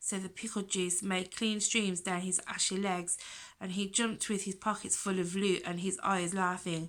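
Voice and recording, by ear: The text is read aloud in a natural voice.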